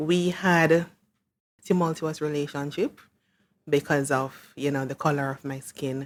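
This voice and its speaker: On a very clean recording with a silent background, a woman with a very deep, low pitch speaks fairly slowly, with fairly even intonation and long, frequent pauses. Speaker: interview guest. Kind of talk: interview.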